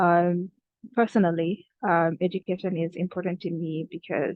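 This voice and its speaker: A woman speaks at a fairly slow pace in a fairly low pitch. Her intonation is monotone and flat. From Kenya (refugee camp). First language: not English. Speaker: student youth advocate. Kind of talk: prepared reflections at online event. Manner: hesitant, many fillers.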